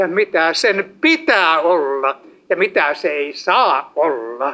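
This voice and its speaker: The man's voice moves through very wide pitch swings. He speaks at a very slow pace. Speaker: evangelist preacher. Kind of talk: sermon. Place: hall.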